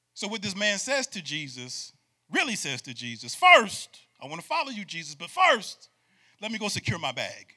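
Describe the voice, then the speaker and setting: Raised and projected, a man's high, bright, sharp voice sounds animated at a moderate pace, with very wide pitch swings, big swings in loudness, and long, frequent pauses. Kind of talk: sermon to a live congregation, preacher in full flow. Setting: church with live audience. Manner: animated, call-and-response, urging the crowd to shout back; emphatic, rhythmic, repeating phrases for effect.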